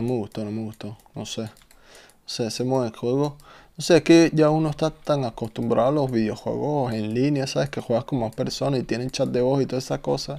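The man talks at a fairly quick pace with fairly even intonation. His tone is dark and mellow. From Venezuela (Caracas). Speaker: gaming streamer. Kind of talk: casual chat. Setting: live stream. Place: home room.

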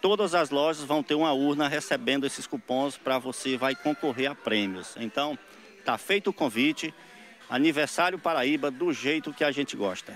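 In a normal speaking voice, a man speaks at a moderate pace and fairly high pitch with lively intonation and very even loudness over light background noise. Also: dry sound with no echo. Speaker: store representative. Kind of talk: radio ad pitch. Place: shop. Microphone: handheld.

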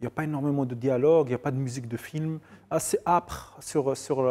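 Ordinary pitch variation shapes a man's dark, mellow-toned speech. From Morocco, Casablanca. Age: 40s. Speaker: filmmaker and novelist; guest. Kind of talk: TV interview. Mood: relaxed, reflective, ironic. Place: studio. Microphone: lapel.

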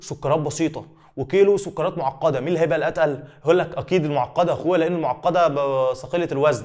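A man with an Egyptian accent, fairly high-pitched, in an animated tone at a very fast pace. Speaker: biology teacher. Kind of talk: exam review lecture.

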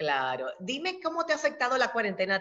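Speaking at a fairly quick pace, a woman uses an animated tone. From Dominican Republic. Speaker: interviewer. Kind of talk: interview. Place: home room. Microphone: webcam.

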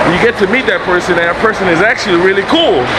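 A man talks fairly quickly while loud background noise fills the clip. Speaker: travel vlogger. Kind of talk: casual vlog chat. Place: shop. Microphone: phone near.

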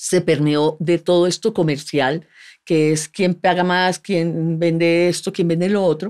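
A woman speaks at a fairly slow pace against a quiet background. Her voice is fairly low, with fairly even intonation and very even loudness. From Colombia. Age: 50s. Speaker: actress and former beauty queen; actress. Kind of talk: casual interview conversation. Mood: relaxed, candid. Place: studio. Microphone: studio mic.

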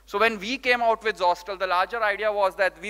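The tone is bright and sharp, with the voice raised and projected. The pace is fairly quick against a quiet background. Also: man. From India, Rajasthan. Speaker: startup founder and CEO. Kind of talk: conference talk. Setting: stage with audience. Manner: animated. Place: hall. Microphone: podium.

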